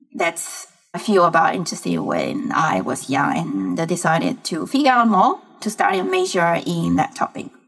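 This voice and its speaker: A woman speaks with a Chinese accent. Her pace is moderate. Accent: Mandarin Chinese accent in English. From China, Fujian province. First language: Mandarin Chinese. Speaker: tech startup founder and CEO. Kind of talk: interview conversation. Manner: halting, searching for English words.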